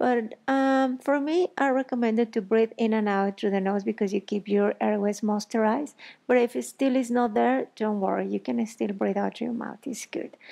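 A woman speaks at a moderate pace in a dark, mellow tone, with ordinary pitch variation, hardly any pauses and a quiet background. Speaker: yoga instructor. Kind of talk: guided yoga instruction. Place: home room.

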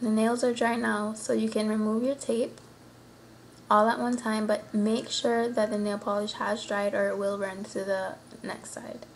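A woman with a slight Caymanian accent talks at a moderate pace with fairly even intonation over light background noise. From Cayman Islands. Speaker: nail tutorial maker. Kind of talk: nail tutorial talk to camera. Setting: home, roosters crowing in background. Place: home room. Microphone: webcam.

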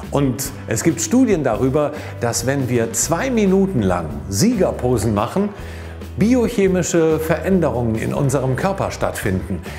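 A man speaks at a fairly slow pace with a fairly high pitch and very wide pitch swings. Faint music plays in the background. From Cologne, Germany. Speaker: professional voice actor and stage-fright coach. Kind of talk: motivational tip talk to camera.

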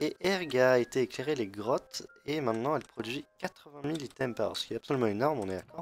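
Very fast male speech at medium pitch with ordinary pitch variation, music in the background. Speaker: gaming youtuber. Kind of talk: gameplay tutorial commentary. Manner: hesitant, many fillers.

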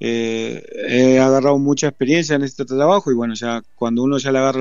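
Monotone, flat intonation from a man at medium pitch and a fairly quick pace. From Uruguay, Florida. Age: 50s. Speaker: football coach. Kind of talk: interview. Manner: halting.

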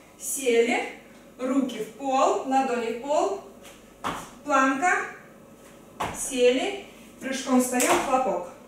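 A woman's high voice at a very slow pace, with long, frequent pauses, strong room echo and noticeable background noise. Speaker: fitness trainer. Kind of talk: workout instruction. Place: home room.

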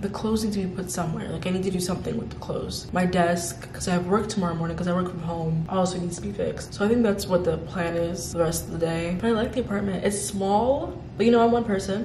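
Over noticeable background noise, a woman talks at a very fast pace with hardly any pauses and fairly even intonation. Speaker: vlogger. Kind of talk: casual vlog chat. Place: home room. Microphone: phone near.

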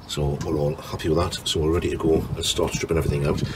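Through noticeable background noise, a man with a very deep, low pitch talks at a very fast pace. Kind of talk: tutorial. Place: garden. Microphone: phone near.

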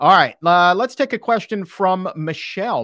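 Over a quiet background, a man with a high pitch and a bright, sharp tone sounds animated and upbeat, his pitch swinging very widely in a dry recording with no echo. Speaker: livestream host. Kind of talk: casual interview, live Q&A. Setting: online livestream. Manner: animated, upbeat. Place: studio. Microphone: studio mic.

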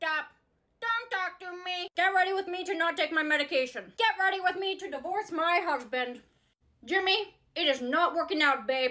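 In a raised, projected voice, a woman speaks with a bright, sharp tone and lively intonation. Her pace is moderate over a quiet background. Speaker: skit creator playing characters. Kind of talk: acted comedy skit dialogue. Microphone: phone near.

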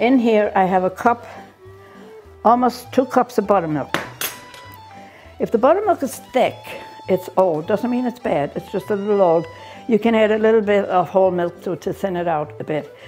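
Against faint background music, a woman speaks with long, frequent pauses. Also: lively intonation, moderate pace. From Ireland. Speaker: grandmother home cook. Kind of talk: cooking demonstration. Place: kitchen. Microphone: lapel.

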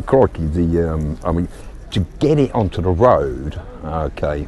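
Over light background noise, a man talks with a very deep, low pitch and ordinary pitch variation, the sound dry with no echo. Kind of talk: interview answer. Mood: relaxed and proud. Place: open country. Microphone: lapel.

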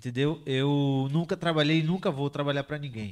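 A man with a normal speaking voice, fairly high in pitch, at a moderate pace. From Bahia, Brazil. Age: 20s. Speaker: forex trader. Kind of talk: casual group chat. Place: home room. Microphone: handheld.

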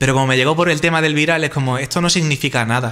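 A man's bright, sharp voice at a very fast pace, with ordinary pitch variation and a quiet background. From Spain (Extremadura); Spain. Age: 30s. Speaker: YouTuber and interviewer; YouTuber, interviewer. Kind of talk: casual interview conversation. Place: home room. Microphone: studio mic.

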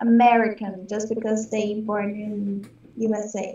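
This is a woman talking. She has a Portuguese accent. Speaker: English student. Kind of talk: language lesson practice. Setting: video call. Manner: halting.

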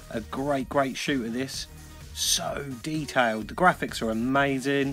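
A man speaks at a very slow pace. Faint music sits in the background. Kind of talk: casual collection showcase. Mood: enthusiastic. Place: home room.

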